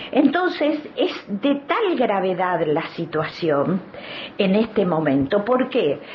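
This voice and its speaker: Against noticeable background noise, a woman in a Rioplatense accent speaks with very wide pitch swings. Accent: Argentine Spanish (rioplatense). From Argentina, Neuquén. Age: 70s. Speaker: activist, children's rights advocate and author. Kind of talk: studio interview. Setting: studio.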